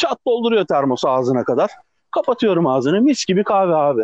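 Against a quiet background, a man talks fairly quickly at a high pitch with very wide pitch swings, the sound dry and close with no echo. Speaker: podcast co-host, TV worker. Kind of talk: casual chat. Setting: phone call. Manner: animated. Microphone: phone line, rough sound.

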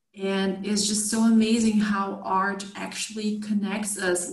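With a Portuguese accent, a woman speaks fairly slowly in a flat monotone at a medium pitch, with noticeable background noise. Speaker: podcast host. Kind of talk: interview.

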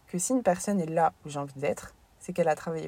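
A woman speaks with a fairly low pitch. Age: 20s. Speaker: sports coach and podcaster. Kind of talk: casual monologue.

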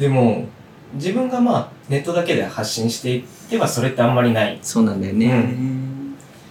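Amid noticeable background noise and audible room echo, a man of medium pitch talks at a moderate pace with ordinary pitch variation. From Okinawa, Japan. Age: 20s. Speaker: novelist and poet. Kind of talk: casual chat.

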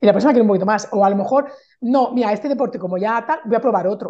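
A woman's fairly high voice with a dark, mellow tone at a very fast pace. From Spain, Barcelona. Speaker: Spanish teacher and mentor. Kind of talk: casual interview chat. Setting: call.

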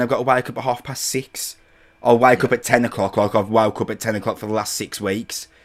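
A man talks fairly quickly in a medium pitch, his intonation monotone and flat. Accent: English. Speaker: podcast host. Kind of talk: casual chat. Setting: video call.

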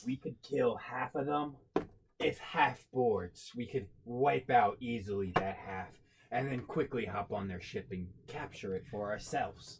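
A man uses a put-on character voice. He speaks at a moderate pace in a medium pitch. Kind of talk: pirate accent roleplay. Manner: gruff, eager, rallying.

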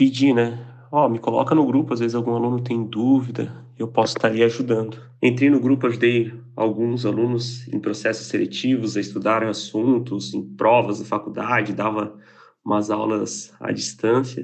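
His intonation stays monotone and flat. This man speaks at a medium pitch and moderate pace. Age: 20s. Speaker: software engineer. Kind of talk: recorded personal story.

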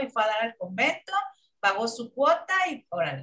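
With a Mexican accent, a woman speaks in very wide pitch swings. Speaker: film critic panelist. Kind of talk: casual chat.

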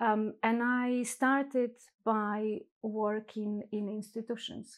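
A woman with a Polish accent speaks at a fairly high pitch in a monotone, flat intonation. The recording is very clean, with a silent background. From Poland. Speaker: psychotherapist. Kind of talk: casual interview chat. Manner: halting with fillers.

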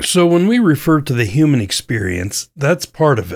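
A man with an unremarkable speaking voice talks at a fairly slow pace with lively intonation, recorded very cleanly against a silent background. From US West, central Idaho. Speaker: podcast host. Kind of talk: scripted narration.

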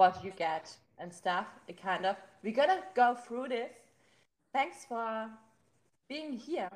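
In a German accent, the speaker goes at a very slow pace with long, frequent pauses, very wide pitch swings and big shifts in loudness. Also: woman, fairly high pitch for a woman. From Germany. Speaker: podcast host. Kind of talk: casual interview.

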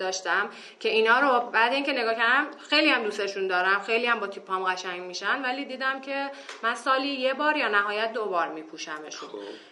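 A woman talks very fast with lively intonation. Noticeable background noise and audible room echo are present. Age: 20s. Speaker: minimalism practitioner, tourism graduate. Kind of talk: casual interview chat.

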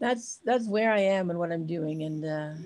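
This woman has a normal speaking voice at a fairly low pitch. She talks at a moderate pace with lively intonation. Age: 60s. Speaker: charity founder and expedition rider. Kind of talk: casual interview.

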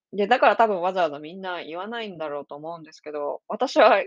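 Against a quiet background, a woman with an unremarkable speaking voice talks at a fairly quick pace and medium pitch, her intonation lively. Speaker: podcast host and psychic reader. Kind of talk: solo podcast monologue. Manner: casual, with many fillers.

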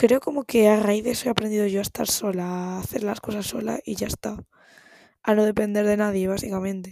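A woman speaks at a fairly quick pace in a medium pitch, her tone dark and mellow. The sound is dry and close, with no echo. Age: 19. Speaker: podcaster. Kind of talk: casual monologue. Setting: home recording at night. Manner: animated.

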